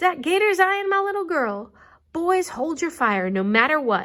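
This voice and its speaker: A woman puts on a character voice at an extremely high pitch. She moves at a moderate pace with very wide pitch swings. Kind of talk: storybook read-aloud.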